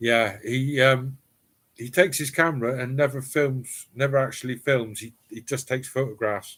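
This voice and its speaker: Big swings in loudness mark a man with a Cornish accent who speaks at a moderate pace and medium pitch with fairly even intonation. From East Cornwall, England. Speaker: live streamer, former firefighter. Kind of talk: casual live stream chat. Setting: home cellar live stream.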